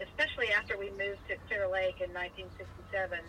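Noticeable background noise sits behind a woman with an American accent speaking at a moderate pace. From Virginia. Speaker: family member interviewed about family history. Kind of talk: casual family conversation.

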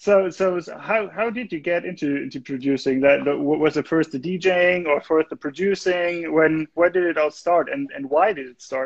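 Speaking in a German accent, a man with a high pitch talks at a moderate pace with hardly any pauses, big swings in loudness and ordinary pitch variation. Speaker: music label livestream host. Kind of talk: casual interview. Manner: halting.

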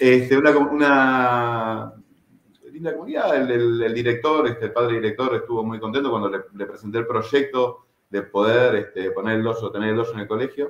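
A man speaks at a moderate pace and medium pitch in a normal speaking voice. His intonation stays fairly even. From Buenos Aires suburbs, Argentina (Merlo), Uruguayan parents. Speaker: martial arts instructor. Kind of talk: casual interview.

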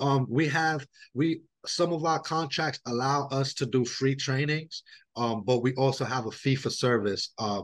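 With a New York accent, a man speaks at a moderate pace and medium pitch, with ordinary pitch variation, over a quiet background. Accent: New York City. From New York City, Brooklyn. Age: 30s. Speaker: harm reduction outreach worker. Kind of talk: interview. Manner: casual, many fillers.

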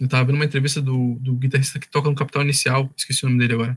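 This man has a medium-pitched, somewhat breathy voice. His intonation is fairly even. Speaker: radio show host. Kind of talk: casual chat. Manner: halting.

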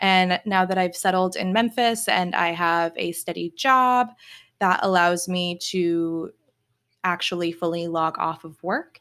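With an American accent, a woman in a plain, everyday voice speaks at a fairly slow pace and a fairly low pitch, with ordinary pitch variation, on a very clean recording with a silent background. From Virginia, US. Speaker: spiritual coach and podcast host. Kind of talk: solo podcast monologue.

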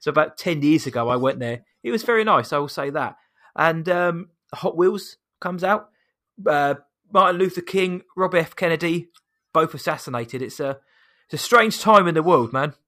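A man's bright, sharp voice with a British accent, high in pitch, at a moderate pace with ordinary pitch variation, on a very clean recording with a silent background. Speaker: podcast host. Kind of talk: casual chat.

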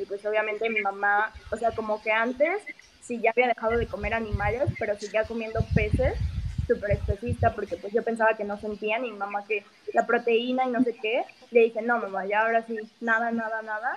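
A woman speaks at a fairly quick pace with a fairly high pitch and fairly even intonation, over noticeable background noise. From Mexico City. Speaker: vegan activist. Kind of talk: interview.

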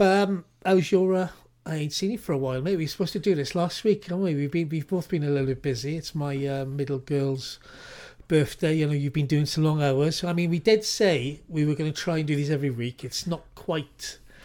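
A man with a British accent speaks at a fairly quick pace in a fairly high pitch, with ordinary pitch variation, on a very clean recording with a silent background. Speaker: podcast co-host. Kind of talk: casual chat. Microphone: new mic.

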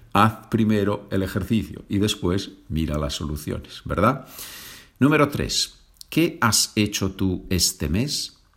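The pace is very slow, with very wide pitch swings throughout. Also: man, fairly low pitch for a man, very clean recording, silent background. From Asturias, northern Spain. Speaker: Spanish teacher. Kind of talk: language lesson.

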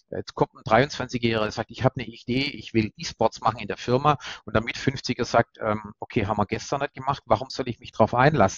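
Using a normal speaking voice, the speaker goes at a fairly quick pace with fairly even intonation and big swings in loudness. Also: man, medium pitch for a man. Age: 50s. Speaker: corporate PR head, former newspaper journalist. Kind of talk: interview.

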